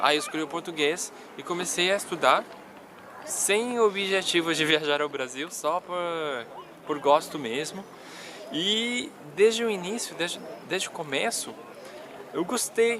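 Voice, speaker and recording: A man with a high pitch speaks at a fairly slow pace, using lively intonation and long, frequent pauses. There is noticeable background noise. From Colombia, Medellín. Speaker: language learning YouTuber. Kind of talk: personal vlog storytelling. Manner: casual, hesitant with repetitions.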